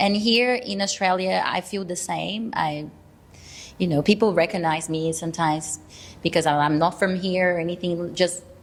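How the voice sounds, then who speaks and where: Ordinary pitch variation marks this speech in a Brazilian accent, delivered at a moderate pace. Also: woman. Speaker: actor. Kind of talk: casual chat. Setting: studio. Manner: halting.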